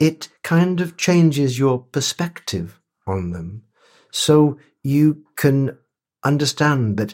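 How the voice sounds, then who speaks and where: On a very clean recording with a silent background, a man talks at a very slow pace with lively intonation. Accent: Welsh. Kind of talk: interview. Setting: at his home.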